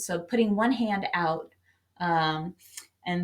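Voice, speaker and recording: A woman talks in a normal speaking voice at a medium pitch. Her intonation stays fairly even. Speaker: meditation guide. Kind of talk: guided meditation. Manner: casual, conversational, with frequent filler pauses.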